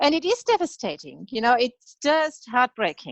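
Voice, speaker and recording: A woman with a slight German accent talks at a fairly slow pace, the sound dry and close with no echo. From Germany. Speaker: veterinarian. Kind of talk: interview conversation.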